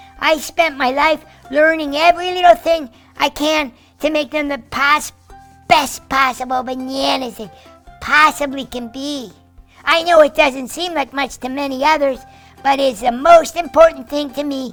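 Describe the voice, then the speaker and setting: Faint music plays in the background. A cartoonish character voice speaks at a moderate pace. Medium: puppet. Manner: excited, upbeat.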